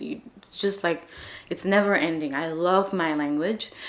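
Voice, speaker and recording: A woman with a Marathi accent and fairly even intonation. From India, Maharashtra. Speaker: language-learning vlogger. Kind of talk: casual vlog talk.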